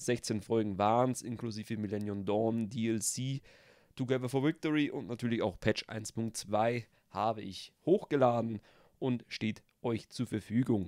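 In an ordinary speaking voice, a man talks at a fairly slow pace with ordinary pitch variation, the sound dry and close with no echo. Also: medium pitch for a man. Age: 20s. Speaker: gaming YouTuber. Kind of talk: channel intro vlog. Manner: casual.

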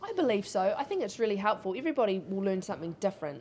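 A woman's animated, very fast speech in a New Zealand accent, over light background noise. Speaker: shooting sports retailer and clay target shooter. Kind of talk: interview. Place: shop.

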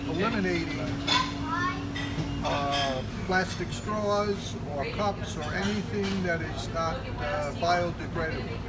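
The speech moves at a very slow pace. Crowd noise fills the background. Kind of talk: interview answer. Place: cafe. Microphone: phone near.

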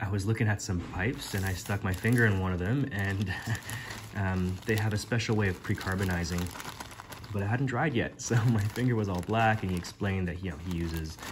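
A man at a fairly quick pace with fairly low pitch and ordinary pitch variation, against noticeable background noise. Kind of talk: casual vlog chat. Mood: enthusiastic, amused. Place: home room. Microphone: phone near.

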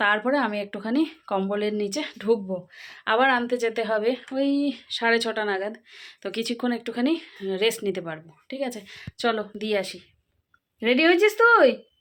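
A woman speaks in a plain, everyday voice. The recording is very clean, with a silent background. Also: fairly high pitch for a woman, ordinary pitch variation. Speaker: family vlogger. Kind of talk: casual vlog voiceover.

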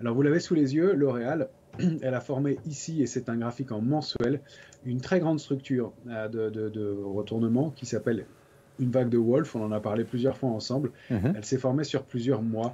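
A dark, mellow tone with ordinary pitch variation at a moderate pace. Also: man. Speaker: guest. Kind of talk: technical market commentary. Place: home room. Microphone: video call.

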